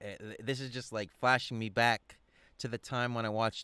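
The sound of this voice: Fairly even intonation from an unforced reading voice.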